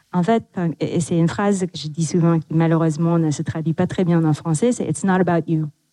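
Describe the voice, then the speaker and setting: With a non-native accent, a woman speaks fairly quickly at a fairly low pitch, in a dark, mellow tone. Her intonation is fairly even, and the sound is dry and close with no echo. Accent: noticeable foreign accent in French. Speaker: tech executive. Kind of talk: panel discussion.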